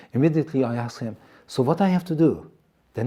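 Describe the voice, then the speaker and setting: A man with an Iranian accent speaks very fast, his tone dark and mellow and somewhat breathy. His intonation is lively. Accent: Iranian Assyrian accent in English. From Iran, Assyrian community. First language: Assyrian. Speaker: TV presenter. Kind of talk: testimony. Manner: halting.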